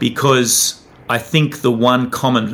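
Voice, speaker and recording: This man speaks with an Australian accent and fairly even intonation. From Australia, Tasmania. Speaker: documentary filmmaker. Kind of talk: interview.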